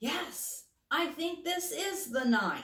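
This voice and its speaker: Putting on a squeaky character voice, a woman hits an extremely high pitch with very wide pitch swings. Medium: read story. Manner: soft, reflective.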